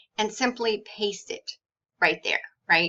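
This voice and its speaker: A woman talks at a fairly slow pace in a fairly high voice. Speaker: blogger and online business strategist. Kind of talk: tutorial.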